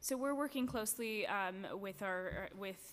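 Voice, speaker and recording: At a fairly slow pace, a woman is talking. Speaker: education department official. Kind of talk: formal testimony at a public hearing. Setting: council chambers hearing. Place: hall. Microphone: podium.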